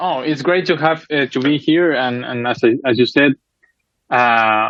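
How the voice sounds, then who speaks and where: A man speaks at a fairly slow pace with a Spanish accent. His pitch is fairly high, with ordinary pitch variation. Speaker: keyboardist and composer. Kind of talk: interview. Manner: halting.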